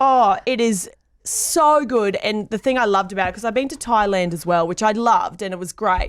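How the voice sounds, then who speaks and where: Using ordinary pitch variation, a woman speaks in an Australian accent. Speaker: radio host. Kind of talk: interview answer. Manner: enthusiastic.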